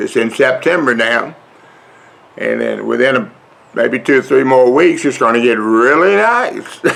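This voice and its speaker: Over noticeable background noise, a man drawls in a Southern US accent. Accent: Southern drawl. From US South. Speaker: vlogger. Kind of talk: casual vlog talk. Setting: outdoors on front porch. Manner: slow, drawling.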